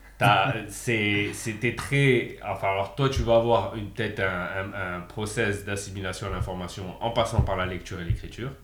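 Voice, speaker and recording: With hardly any pauses, a man speaks at a fairly low pitch and with fairly even intonation, with audible room echo in the recording. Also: moderate pace. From France, Montpellier. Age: 30s. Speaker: engineer and guest co-host. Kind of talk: casual discussion.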